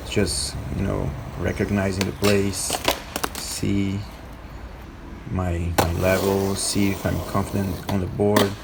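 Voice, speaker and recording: A man with a non-native accent and a fairly low pitch speaks at a fairly slow pace, with audible room echo and noticeable background noise. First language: not English. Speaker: skateboarding vlogger. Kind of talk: vlog voiceover narration. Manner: halting.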